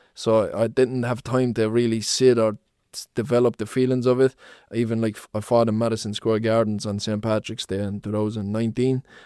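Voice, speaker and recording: In a Limerick accent, a man talks at a fairly quick pace with a dark, mellow tone and monotone, flat intonation, his loudness swinging widely. The sound is dry and close with no echo, on a very clean recording with a silent background. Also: medium pitch for a man. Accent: Irish (Limerick). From Ireland, Limerick. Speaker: professional boxer. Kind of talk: podcast interview.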